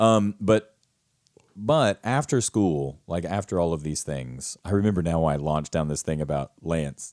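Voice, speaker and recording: On a very clean recording with a silent background, a man with a slight Southern US accent speaks in a very deep, low voice with ordinary pitch variation. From rural US South. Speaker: theater actor and acting teacher, podcast co-host. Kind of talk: casual chat. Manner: animated.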